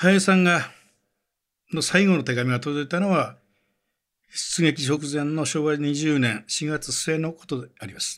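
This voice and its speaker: A normal speaking voice from a man at a fairly high pitch, fairly slow in pace with ordinary pitch variation, in a very clean recording with a silent background. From Wakayama, Japan. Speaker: newspaper journalist. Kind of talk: documentary narration.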